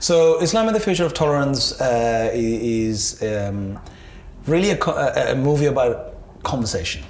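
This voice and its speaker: Noticeable noise sits behind speech that unfolds fairly slowly. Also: man. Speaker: entrepreneur and events producer. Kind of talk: interview. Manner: halting, many repetitions and fillers.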